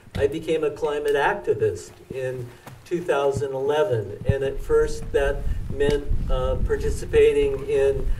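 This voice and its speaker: Over noticeable background noise and audible room echo, a man talks. He has an American accent and a fairly slow pace. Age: 60s. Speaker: climate activist. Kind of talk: speech. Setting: outdoors. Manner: halting.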